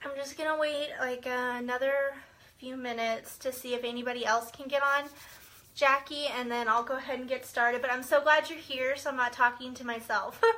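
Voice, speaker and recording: A woman's raised, projected voice with an American accent, high-pitched and monotone, fairly quick, with big swings in loudness. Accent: slight Southern, comes out sometimes. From Central Texas. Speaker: direct sales consultant and team leader. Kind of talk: live-stream team training. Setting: Facebook live video. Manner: casual, many fillers.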